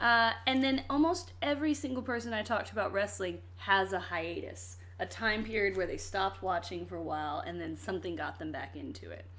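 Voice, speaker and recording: Speaking at a fairly quick pace, a woman leaves hardly any pauses. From Virginia. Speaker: podcast host. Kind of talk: casual chat.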